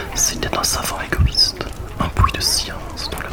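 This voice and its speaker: The voice whispers in a calm tone. Background noise is noticeable. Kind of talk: whispered evening book reading. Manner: whispered, calm.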